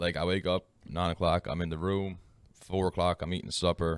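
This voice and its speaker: Recorded very cleanly against a silent background, a man with a very deep, low pitch speaks in a flat monotone with a dry, close sound and no echo. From Newfoundland, Canada. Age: 20s. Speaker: Twitch streamer and college student. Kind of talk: casual chat. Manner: casual, chatty.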